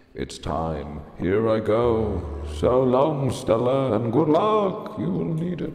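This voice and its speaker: A man puts on a character voice at a medium pitch and a very slow pace, with very wide pitch swings and a slight echo. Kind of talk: reading game dialogue aloud.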